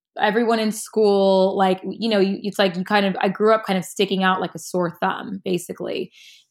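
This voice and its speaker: A woman talks in a monotone, flat delivery with hardly any pauses. The recording is very clean and the background silent. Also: medium pitch for a woman, moderate pace. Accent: American. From US West Coast, suburb outside Los Angeles. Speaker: fashion stylist. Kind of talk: casual interview conversation.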